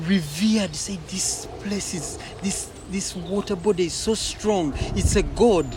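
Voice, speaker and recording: Noticeable background noise sits behind the voice. Delivery is very slow. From Uganda. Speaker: poet. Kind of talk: interview conversation. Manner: halting, many repetitions.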